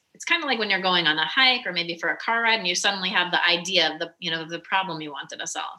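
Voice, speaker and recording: Very fast speech with hardly any pauses and big swings in loudness. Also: woman, fairly low pitch for a woman, ordinary pitch variation. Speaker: mindset coach. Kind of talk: casual chat. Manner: animated.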